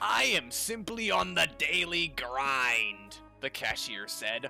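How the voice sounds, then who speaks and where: Over music in the background, a man with a fairly high voice talks at a very slow pace, his pitch swinging very widely. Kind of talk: comedic fanfiction reading.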